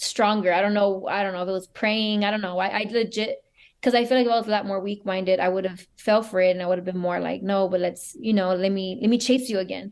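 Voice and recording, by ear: A woman talks at a fast pace with a medium pitch. Her tone is slightly mellow and her intonation fairly even.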